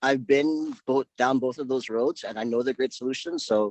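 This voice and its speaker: At a moderate pace, a man talks in a plain, everyday voice. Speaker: business network member, print and digital services. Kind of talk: casual self-introduction on video meeting. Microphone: crackly, lagging audio.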